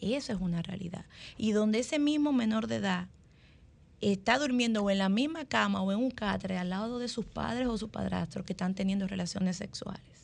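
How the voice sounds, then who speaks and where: A woman's somewhat breathy voice at medium pitch, with lively intonation and a fairly quick pace. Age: 40s. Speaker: family lawyer and columnist. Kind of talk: radio panel discussion.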